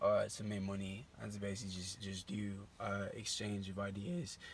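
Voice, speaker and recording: A man speaks at a moderate pace in a fairly low pitch. His voice is somewhat breathy. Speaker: vlogger pitching an app idea. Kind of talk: casual vlog monologue. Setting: outdoors at night by a barn. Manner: halting, many fillers.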